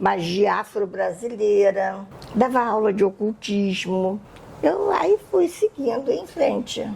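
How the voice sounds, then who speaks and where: A woman's medium-pitched voice at a very slow pace, with very even loudness, ordinary pitch variation and noticeable background noise. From Brazil, Rio de Janeiro. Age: 70s. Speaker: Wiccan witch and magic teacher. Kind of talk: podcast interview.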